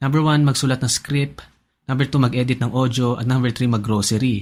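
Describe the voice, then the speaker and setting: A somewhat breathy man at a fairly quick pace, on a very clean recording with a silent background. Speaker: personal finance YouTuber. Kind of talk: scripted narration.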